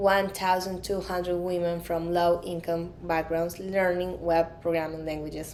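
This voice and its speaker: Heard with audible room echo, a woman with a Colombian accent speaks in a medium pitch. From Colombia, Medellin. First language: Spanish. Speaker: conference speaker, product designer. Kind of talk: conference talk.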